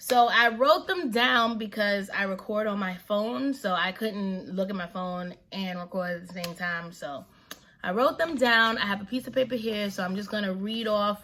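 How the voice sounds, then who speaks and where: A woman with an American accent speaks at a moderate pace and medium pitch, her bright, sharp tone showing ordinary pitch variation and hardly any pauses. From New York City. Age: 20s. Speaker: vlogger, stay-at-home mom. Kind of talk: casual Q&A vlog. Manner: casual, relaxed.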